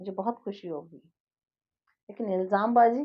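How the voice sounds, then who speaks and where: A woman talks at a medium pitch. Her tone is calm. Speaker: life coach and healer. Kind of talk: monologue to viewers. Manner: calm, never raises voice.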